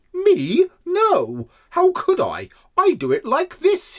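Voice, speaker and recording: A put-on character voice pitched extremely high, delivered at a very slow pace. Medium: read story.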